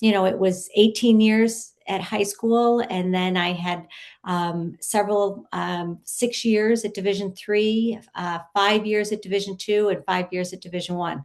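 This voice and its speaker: Against a quiet background, a woman talks at a fairly slow pace with hardly any pauses. Her medium-pitched voice keeps a fairly even intonation. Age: 60s. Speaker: lacrosse coach. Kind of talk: interview conversation. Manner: halting.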